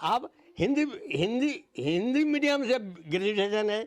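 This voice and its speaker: The man's voice moves in very wide pitch swings. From East Singhbhum, Jharkhand, India. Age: 80s+. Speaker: retired teacher. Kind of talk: interview answer.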